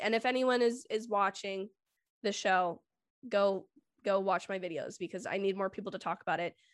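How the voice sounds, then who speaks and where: A woman's unremarkable speaking voice at medium pitch, with big swings in loudness, fairly even intonation, a moderate pace and a very clean recording with a silent background. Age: 20s. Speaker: film YouTuber. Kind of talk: casual chat.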